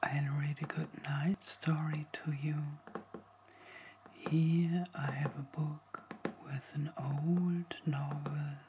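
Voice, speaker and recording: Soft-spoken and gentle in tone, the voice moves at a very slow pace over light background noise. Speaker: reader. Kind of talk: calm bedtime story introduction. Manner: soft, gentle ASMR reading voice. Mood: calm, soothing.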